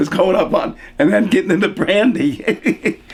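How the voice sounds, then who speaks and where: There is noticeable background noise as a man with an American accent speaks in very wide pitch swings. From Hudson Valley, New York. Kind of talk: oral history interview answer, casual storytelling. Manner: conversational, reminiscing, humorous.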